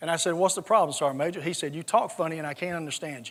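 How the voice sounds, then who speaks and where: A man with a slight Southern US accent at a very fast pace. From US South, South Georgia. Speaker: retired army general. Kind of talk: conference talk with anecdotes.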